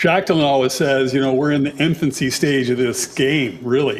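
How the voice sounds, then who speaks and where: A man talks at a fairly quick pace in an unremarkable speaking voice. His pitch is fairly high, and his intonation stays fairly even. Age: 60s. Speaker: online game player guest. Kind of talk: casual chat.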